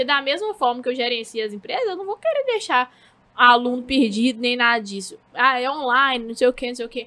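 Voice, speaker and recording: A woman with a high, bright, sharp voice speaks very fast in a raised, projected voice, with lively intonation and big swings in loudness. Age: 20s. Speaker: social media manager. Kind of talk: casual interview chat.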